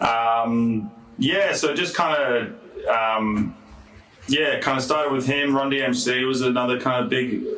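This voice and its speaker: A man speaks at a fairly slow pace in a medium pitch, with ordinary pitch variation and very even loudness. Audible room echo and noticeable background noise fill the recording. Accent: Australian. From Perth, Western Australia. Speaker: rapper. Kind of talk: casual interview. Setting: studio.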